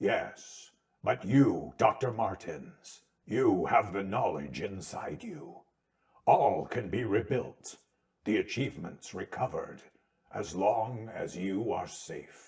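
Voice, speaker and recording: A man uses a put-on character voice at medium pitch. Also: fairly slow pace. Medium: read story. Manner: formal, measured, compassionate.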